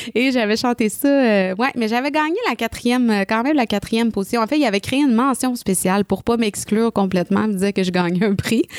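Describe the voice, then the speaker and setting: Speaking at a very fast pace with hardly any pauses, a woman in a Quebec accent has a fairly high pitch, ordinary pitch variation and very even loudness, in a dry, close sound with no echo. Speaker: singer. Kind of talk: casual chat. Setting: studio.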